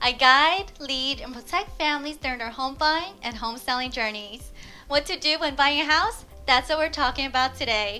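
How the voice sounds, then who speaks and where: Over music in the background, a woman with an American accent uses a raised, projected voice at a high pitch, with ordinary pitch variation and a moderate pace. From US West Coast, Los Angeles. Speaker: real estate agent. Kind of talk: scripted tutorial.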